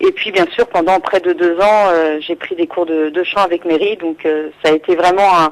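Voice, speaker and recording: The speech moves at a fairly quick pace with a monotone, flat intonation. Noticeable background noise sits behind it. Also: woman. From Île-de-France, France. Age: 20s. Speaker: singer-songwriter. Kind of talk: radio interview. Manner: hesitant, many fillers.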